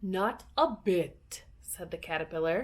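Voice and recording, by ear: A text is being read aloud in a natural voice.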